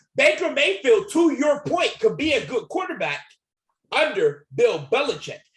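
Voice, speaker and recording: A loud, animated voice at a moderate pace, with very wide swings in pitch. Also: man, extremely high pitch for a man. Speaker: sports YouTuber. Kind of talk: heated sports debate.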